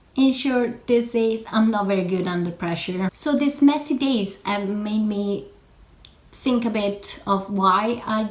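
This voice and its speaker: Somewhat breathy speech with an Italian accent unfolds at a very slow pace amid audible room echo. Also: woman. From Italy. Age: 20s. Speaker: knitting podcaster. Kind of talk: casual vlog chat. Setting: in front of a camera.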